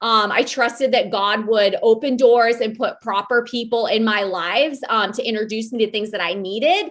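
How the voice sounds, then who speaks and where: This woman, with an American accent, speaks in an animated tone at a fairly high pitch with ordinary pitch variation. Her pace is moderate, with hardly any pauses. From US Midwest, Iowa. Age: 40s. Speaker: podcast co-host, military veteran with MS. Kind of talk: casual self-introduction monologue. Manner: loud, especially when passionate; animated, frequent um fillers.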